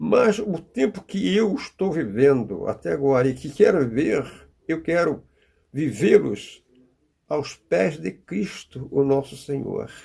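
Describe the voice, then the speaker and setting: With vocal fry and very wide pitch swings, a man speaks at a very slow pace in a dark, mellow tone at fairly high pitch. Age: 80s+. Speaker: preacher. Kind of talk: sermon.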